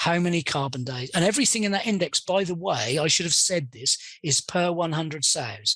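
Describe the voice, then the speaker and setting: The speaker has a British accent and lively intonation. The pace is moderate. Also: man. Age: 60s. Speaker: pig industry consultant. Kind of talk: interview. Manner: hesitant, with many fillers.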